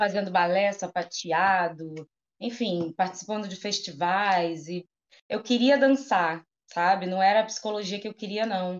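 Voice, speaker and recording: The voice moves at a fairly slow pace with ordinary pitch variation. Its loudness swings widely. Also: woman, medium pitch for a woman. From Rio de Janeiro, Brazil (Campo Grande, West Zone). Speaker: psychologist and entrepreneur. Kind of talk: casual interview chat.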